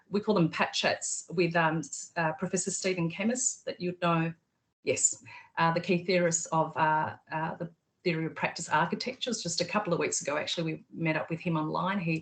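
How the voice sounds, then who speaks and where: Speaking at a fairly quick pace with an Australian accent, this somewhat breathy voice shows ordinary pitch variation. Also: woman, fairly low pitch for a woman. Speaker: PhD candidate, researcher. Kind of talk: video call interview. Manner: hesitant, many fillers.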